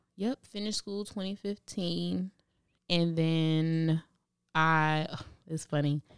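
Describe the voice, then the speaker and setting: A woman's fairly low voice in an American accent, very slow, with long, frequent pauses and fairly even intonation. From Brooklyn, New York. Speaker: hairstylist and salon owner. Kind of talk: casual interview.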